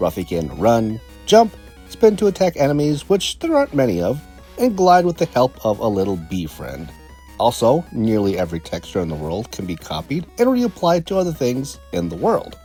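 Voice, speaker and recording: A man speaks at medium pitch and a moderate pace, his pitch swinging very widely. Music plays in the background. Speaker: game reviewer. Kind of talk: video game review narration.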